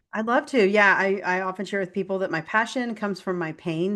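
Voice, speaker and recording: Against a quiet background, a woman talks at a fairly quick pace and a medium pitch. Her tone is energetic. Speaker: functional nutritionist and health coach. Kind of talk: interview conversation. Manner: fast.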